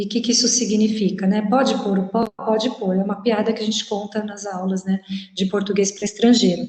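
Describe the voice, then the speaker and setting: A woman talks in an ordinary speaking voice at a moderate pace. Her pitch is fairly high, with ordinary pitch variation. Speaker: language teacher. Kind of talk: lecture.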